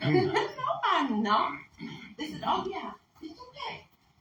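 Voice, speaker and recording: A woman is speaking in a space with audible room echo. Noticeable background noise is also present. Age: 60s. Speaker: wildlife tracker and conference presenter. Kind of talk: conference presentation. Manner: loud.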